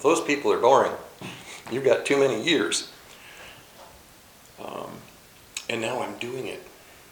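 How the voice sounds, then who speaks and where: With an American accent, a man speaks in an echoing room over noticeable background noise, his loudness swinging widely and his speech broken by long, frequent pauses. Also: fairly slow pace. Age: 60s. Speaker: chaplain. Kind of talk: casual talk.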